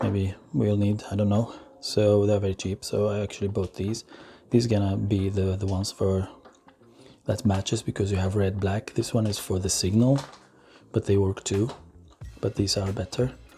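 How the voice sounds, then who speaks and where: The voice is somewhat breathy with a dark, mellow tone, moving at a moderate pace with fairly even intonation and long, frequent pauses. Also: man, fairly low pitch for a man. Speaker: motorcycle vlogger. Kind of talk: product unboxing tutorial. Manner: halting.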